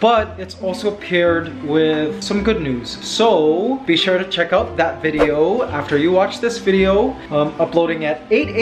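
Clear music plays in the background. A man talks over it at a fairly slow pace. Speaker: vlogger. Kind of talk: casual vlog chat. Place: home room. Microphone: phone near.

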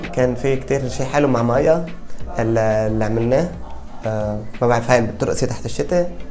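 Over faint music in the background, the speech moves at a fairly quick pace with ordinary pitch variation. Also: man. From Baalbek, Lebanon. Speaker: singer. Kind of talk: interview answer. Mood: cheerful, smiling. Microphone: lapel.

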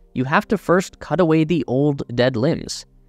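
Lively intonation comes through a dry, close sound with no echo, with music playing in the background. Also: man. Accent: Canadian. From Canada. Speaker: YouTube tech channel narrator. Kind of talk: scripted narration.

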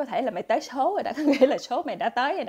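Against a quiet background, a woman speaks at a fairly quick pace in a dark, mellow tone. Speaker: storyteller. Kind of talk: casual storytelling livestream. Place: shop. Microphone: earbuds.

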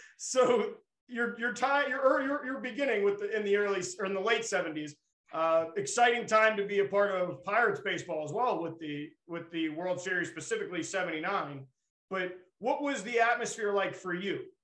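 A man's high-pitched voice, bright and sharp in tone, with audible room echo. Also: moderate pace. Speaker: podcast host. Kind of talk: podcast host interview. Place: studio. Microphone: video call.

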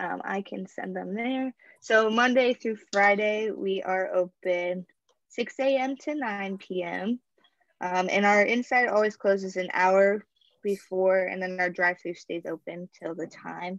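A woman speaks at a fairly slow pace with ordinary pitch variation. The sound is dry with no echo, and the background is quiet. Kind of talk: interview answer. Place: office. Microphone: earbuds.

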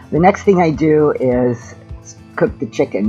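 Faint music plays behind the voice. The words come at a moderate pace. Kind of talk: tutorial. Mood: friendly, upbeat. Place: kitchen.

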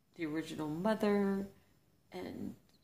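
The pace from this woman is fairly slow. She shows ordinary pitch variation. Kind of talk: casual vlog chat.

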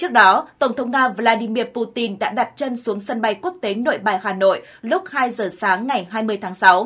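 A woman talks at a moderate pace in a normal speaking voice. Her pitch is fairly high, with ordinary variation. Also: hardly any pauses. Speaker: news narrator. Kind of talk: news reading.

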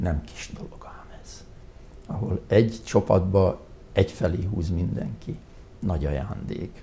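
This man's voice is very deep and low, and he speaks very slowly. His intonation is lively, with big swings in loudness. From Hungary, Tura; Hungary. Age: 70s. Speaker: retired hospital doctor; interview guest. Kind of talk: interview. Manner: halting. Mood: calm, reflective. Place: studio. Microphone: lapel.

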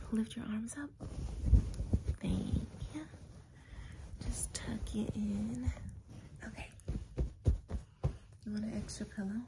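A woman speaks with long, frequent pauses. Loud background noise fills the recording. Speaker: comfort roleplay host. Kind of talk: soft personal-attention roleplay talk. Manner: soft caring ASMR voice. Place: home room. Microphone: phone near.

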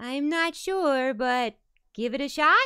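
A female-sounding, put-on character voice with a high pitch moves at a fairly slow pace.

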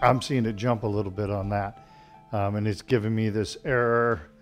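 With faint music in the background, a man with a fairly low pitch speaks at a moderate pace with fairly even intonation. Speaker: tai chi instructor. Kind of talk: casual live-class chat. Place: home room.

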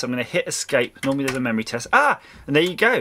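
A man rattles off his words very quickly while faint noise sits in the background. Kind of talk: tutorial. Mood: cheerful, pleased. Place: workshop.

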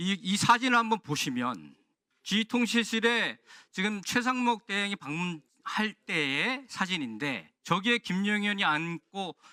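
A man's raised, projected voice, high-pitched and bright and sharp in tone, with very wide pitch swings at a fairly slow pace, dry and close with no echo, on a very clean recording with a silent background. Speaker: lawmaker questioning an official. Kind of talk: parliamentary committee questioning. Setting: parliamentary committee hearing room.

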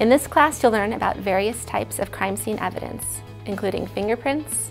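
A woman speaks with faint music in the background. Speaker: college chemistry instructor. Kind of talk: promotional talk to camera. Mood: friendly, upbeat. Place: studio. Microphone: lapel.

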